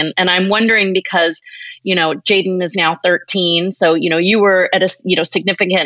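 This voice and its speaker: A woman at medium pitch talks at a fairly quick pace in a normal speaking voice. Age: 40s. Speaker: podcast host and yoga teacher. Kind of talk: casual interview conversation.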